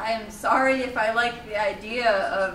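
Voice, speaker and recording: Over noticeable background noise, a woman speaks at a high pitch. Her intonation stays fairly even. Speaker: spoken word poet. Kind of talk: spoken word poetry performance. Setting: live open mic at a college.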